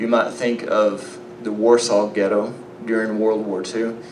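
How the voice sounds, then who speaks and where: A man with a slight Southern US accent speaks in a relaxed tone at a fairly low pitch, with noticeable background noise and audible room echo. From Arkansas, US South. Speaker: biblical archaeology lecturer. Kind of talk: conference lecture. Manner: relaxed, conversational with fillers.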